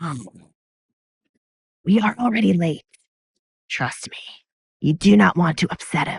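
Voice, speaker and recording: A woman's put-on character voice, fairly low in pitch with very wide pitch swings, at a moderate pace with long, frequent pauses, in a dry, close sound with no echo. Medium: audio drama. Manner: mocking, gleeful, unpredictable.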